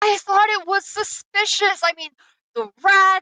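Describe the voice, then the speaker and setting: Extremely high-pitched put-on character voice from a woman. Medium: actual play. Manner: grumbling, grudging.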